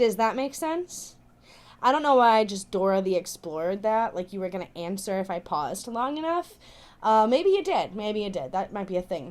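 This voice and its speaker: Woman with very wide pitch swings on a very clean recording with a silent background. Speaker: YouTuber and podcaster. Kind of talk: voiceover commentary. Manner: fast; animated, upbeat inflection.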